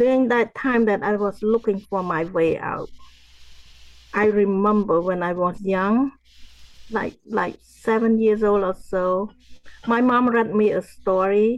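A woman speaks with a Cambodian accent at a medium pitch and a fairly slow pace. Her intonation is fairly even, broken by long, frequent pauses. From Cambodia, rural farm area. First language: Khmer. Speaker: genocide survivor, author and motivational speaker. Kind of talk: interview testimony. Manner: halting, repeats words.

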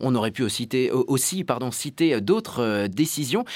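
On a very clean recording with a silent background, a man uses an ordinary speaking voice with a medium pitch and lively intonation. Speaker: radio host. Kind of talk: radio interview. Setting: studio link from parliament. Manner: formal.

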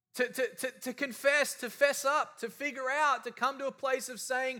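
A man with an Australian accent projects a raised voice of extremely high pitch and a bright, sharp tone, speaking at a fairly slow pace. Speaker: preacher. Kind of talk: sermon.

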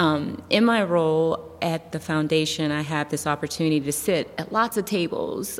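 Noticeable background noise sits under this recording. A woman speaks at a fairly low pitch with an American accent. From US Midwest (Youngstown, Ohio). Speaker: foundation staff, community leader. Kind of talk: interview.

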